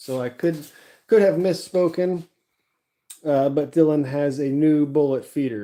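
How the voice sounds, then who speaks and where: A man talks at a moderate speed. His pitch is fairly high. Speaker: livestreamer reloading ammunition. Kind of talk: casual livestream chat. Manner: monotone.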